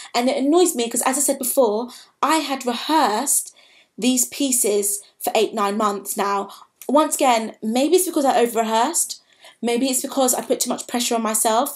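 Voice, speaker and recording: A high-pitched woman's voice against a quiet background. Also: ordinary pitch variation, moderate pace. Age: 20s. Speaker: vlogger, drama school applicant; drama school applicant vlogger. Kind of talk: personal vlog monologue. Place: home room. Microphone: webcam.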